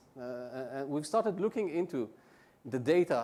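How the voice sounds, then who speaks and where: Very wide pitch swings run through this man's dark, mellow tone as he talks at a fairly high pitch and a fairly quick pace. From Israel. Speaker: conference presenter. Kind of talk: conference presentation. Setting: stage with audience. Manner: fast; halting, many fillers.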